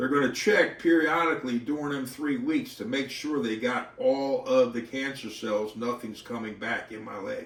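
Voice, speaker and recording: At a moderate pace, a man with a medium pitch speaks with lively intonation amid noticeable background noise and audible room echo. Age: 60s. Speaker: model car racing hobbyist. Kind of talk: casual vlog talk. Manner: halting.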